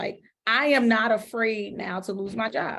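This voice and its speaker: A woman speaks in a passionate tone at a fairly high pitch. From US, urban neighborhood. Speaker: school principal. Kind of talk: podcast interview.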